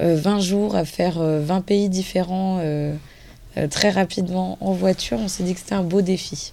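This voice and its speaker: A woman speaks in an ordinary speaking voice, with fairly low pitch. Her pace is fairly slow, and her pitch varies in an ordinary way. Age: 20s. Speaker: retail sales manager, charity raid team member. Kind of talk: radio interview.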